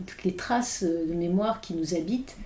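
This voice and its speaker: Audible room echo surrounds this woman's voice. Her pitch varies an ordinary amount. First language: English (speaking French). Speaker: philosopher. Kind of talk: podcast interview. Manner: halting, many hesitations.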